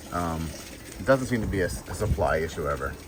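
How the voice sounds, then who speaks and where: This man talks at a moderate pace, his intonation lively, with audible room echo and noticeable background noise around him. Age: 60s. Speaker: fish breeder. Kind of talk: casual tutorial. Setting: barn. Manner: casual, hesitant with fillers.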